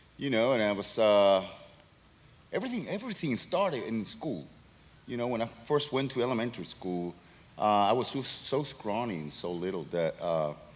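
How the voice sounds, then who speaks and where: A man of medium pitch talks at a moderate pace with very wide pitch swings and long, frequent pauses, with audible room echo around him. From Venezuela. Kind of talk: stage interview testimony. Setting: stage with audience.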